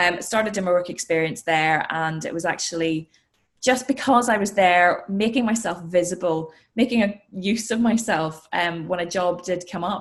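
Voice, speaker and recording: Speaking with a Northern Irish accent, a woman uses a medium pitch. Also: ordinary pitch variation, moderate pace. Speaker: sports and news presenter. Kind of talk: interview.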